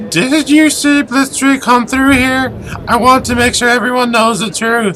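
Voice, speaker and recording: Over clear background noise, a man puts on a character voice. It is extremely high-pitched and moves at a moderate pace. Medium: game stream.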